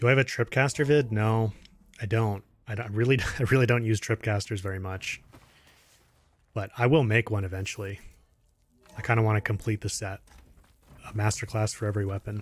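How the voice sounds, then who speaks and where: Long, frequent pauses break up a man's somewhat breathy, fairly low-pitched speech. His intonation stays fairly even. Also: fairly quick pace. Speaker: gaming streamer. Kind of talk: live stream commentary. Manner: casual, relaxed.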